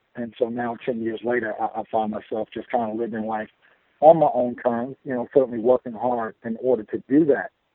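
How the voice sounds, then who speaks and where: A normal speaking voice from a man at medium pitch, with a fairly quick pace and fairly even intonation. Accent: American. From Chicago. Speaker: DJ and entrepreneur. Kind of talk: interview.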